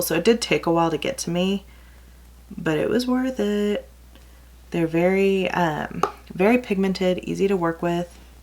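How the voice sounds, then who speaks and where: With a slight Texas accent, a woman talks at a medium pitch. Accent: slight Texas country twang. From California, then Texas from age 14. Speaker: beauty vlogger. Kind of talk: casual makeup tutorial. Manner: chatty, rambling.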